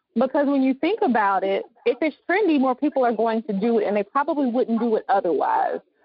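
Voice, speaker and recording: With a Southern US accent, a woman talks at a high pitch and a fairly quick pace. Her pitch swings very widely and she leaves hardly any pauses. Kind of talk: casual interview chat.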